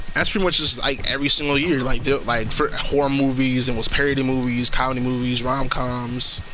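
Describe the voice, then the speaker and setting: At a fairly quick pace and with hardly any pauses, a man speaks in a medium-pitched, monotone voice with flat intonation and very even loudness, amid noticeable background noise and audible room echo. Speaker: gaming streamer. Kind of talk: casual chat. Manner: halting.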